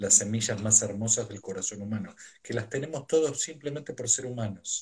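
Ordinary pitch variation in the somewhat breathy voice of a man. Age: 50s. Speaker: psychotherapist and mindfulness teacher. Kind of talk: live stream interview. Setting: video call from home.

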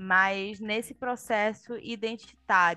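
A woman's fairly high-pitched voice with ordinary pitch variation, music in the background. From Pará, northern Brazil. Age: young. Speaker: journalist and film director. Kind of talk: casual interview.

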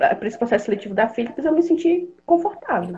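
A woman speaks with a dark, mellow tone and vocal fry. Her pitch swings very widely. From Pará, northern Brazil. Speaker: software developer. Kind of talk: podcast interview.

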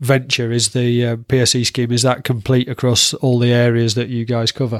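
The speaker is a man. He has a Yorkshire accent. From Yorkshire, northern England. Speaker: podcast host. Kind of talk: interview.

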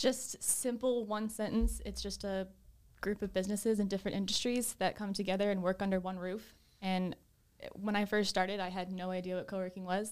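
A woman with an American accent talks at a fairly quick pace in a normal speaking voice, medium in pitch, with big swings in loudness. The recording is very clean, with a silent background. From Boston, Massachusetts. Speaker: coworking space director. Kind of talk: interview.

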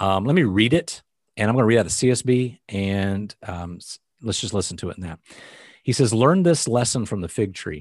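A man with an ordinary speaking voice, fairly low in pitch, talks fairly quickly with lively intonation. His loudness swings a lot against a quiet background. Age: 40s. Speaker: Bible podcast host. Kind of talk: casual Bible discussion. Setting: video call.

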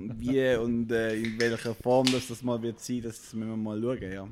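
In a very clean recording with a silent background, a man with a slight St. Gallen accent speaks at a medium pitch and fairly slow pace with fairly even intonation. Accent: St. Gallen Swiss German dialect, slight. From eastern Switzerland, St. Gallen. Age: 30s. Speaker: co-founder of an artist support platform. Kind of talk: podcast interview.

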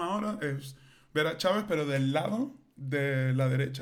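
Room echo is audible in the space. The man talks with lively intonation. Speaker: podcast co-host. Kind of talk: casual chat.

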